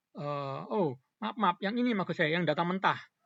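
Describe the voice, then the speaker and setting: A man speaks with ordinary pitch variation. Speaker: tutorial presenter. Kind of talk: tutorial. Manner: halting; soft-spoken.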